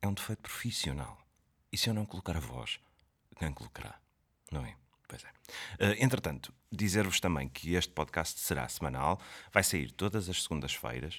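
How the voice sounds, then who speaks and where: A man with a European Portuguese accent speaks at a moderate pace, his very deep, low voice showing vocal fry. His pitch swings very widely, and he takes long, frequent pauses. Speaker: podcast host, comedian. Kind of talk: comedic monologue. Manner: projected, put-on announcer voice.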